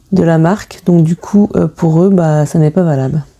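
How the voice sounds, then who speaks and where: With noticeable background noise behind her, a woman speaks with fairly even intonation. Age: 40s. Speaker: budgeting YouTuber. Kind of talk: casual vlog talk to camera. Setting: home, filming late at night. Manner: hesitant, many fillers (euh).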